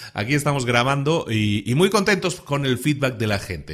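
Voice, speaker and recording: Fairly high-pitched and fairly quick, a man talks with lively intonation. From Spain. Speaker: podcast host. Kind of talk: podcast monologue. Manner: casual, with many hesitations and repetitions.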